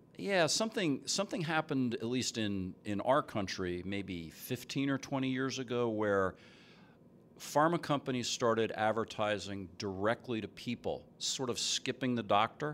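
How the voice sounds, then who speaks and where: Using a normal speaking voice with an American accent, a man talks at a moderate pace with lively intonation. The recording is very clean, with a silent background. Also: medium pitch for a man. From US East Coast, New Jersey. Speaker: chief science officer in cannabis food products. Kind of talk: casual interview before live audience. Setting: stage with audience.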